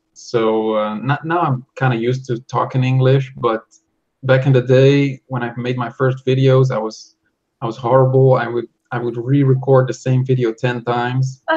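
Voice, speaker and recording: A man with a Dutch accent speaks at medium pitch. His voice is somewhat breathy and flat, in a monotone. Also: moderate pace. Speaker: software developer. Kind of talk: interview. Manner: halting.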